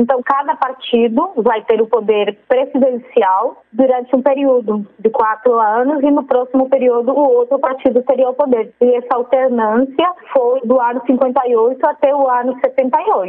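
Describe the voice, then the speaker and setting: Over noticeable background noise, a woman with a Spanish accent speaks at a high pitch and a fairly slow pace, with very even loudness and fairly even intonation. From Colombia. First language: Spanish (speaking Portuguese). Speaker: PhD researcher. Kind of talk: interview. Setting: phone call.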